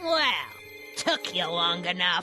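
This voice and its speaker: A woman uses a put-on character voice at a medium pitch while faint music plays in the background. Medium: machinima. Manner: scolding, prim, impatient.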